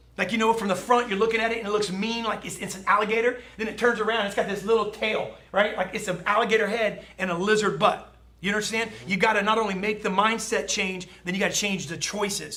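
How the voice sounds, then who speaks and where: A man with a high pitch talks in a raised, projected voice and an animated tone at a very fast pace, with noticeable background noise and audible room echo. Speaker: sales trainer. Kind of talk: motivational talk.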